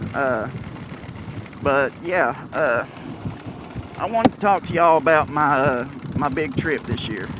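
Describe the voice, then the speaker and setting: With noticeable background noise, a man with an American accent and a fairly high pitch speaks fairly slowly with lively intonation and long, frequent pauses. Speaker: motorcycle vlogger. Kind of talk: casual vlog talk. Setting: outdoors in evening sun. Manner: hesitant, many fillers.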